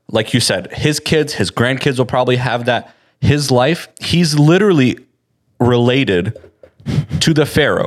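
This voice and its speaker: A man speaks in a normal speaking voice at a medium pitch with ordinary pitch variation. His pace is fairly slow and his loudness very even. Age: 20s. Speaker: Bible podcast co-host. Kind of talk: Bible study discussion.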